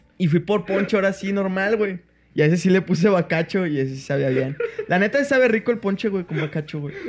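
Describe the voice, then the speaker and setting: Speaking at a very fast pace, a man with a Mexican accent uses a high pitch and ordinary pitch variation. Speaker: comedy podcast host. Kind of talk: casual chat.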